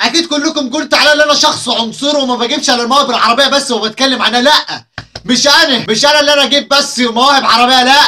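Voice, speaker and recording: Over noticeable background noise, a man uses a raised, projected voice at an extremely high pitch, talking fairly quickly with hardly any pauses and very even loudness. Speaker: YouTube comedy commentator. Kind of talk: comedic video commentary. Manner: animated.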